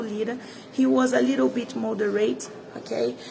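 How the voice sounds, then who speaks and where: A woman with a Brazilian Portuguese accent speaks at a fairly high pitch and a fairly slow pace. Her pitch swings very widely over noticeable background noise. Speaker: political commentator. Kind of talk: political commentary vlog. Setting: inside the Senate. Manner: halting.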